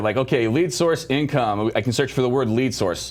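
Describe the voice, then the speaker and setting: At a very fast pace, a man speaks in an animated tone at a medium pitch with ordinary pitch variation. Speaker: software product specialist. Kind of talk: product demo livestream. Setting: video livestream.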